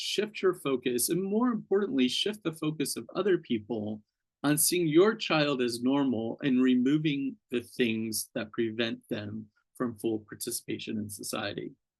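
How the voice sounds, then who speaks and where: This man has an American accent and a fairly high pitch. He speaks at a fairly slow pace with lively intonation. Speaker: author and neurodiversity speaker. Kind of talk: lecture.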